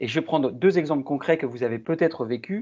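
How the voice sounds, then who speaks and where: The pitch variation is ordinary. The background is quiet. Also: man. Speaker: workshop moderator. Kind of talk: online workshop presentation. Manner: fast.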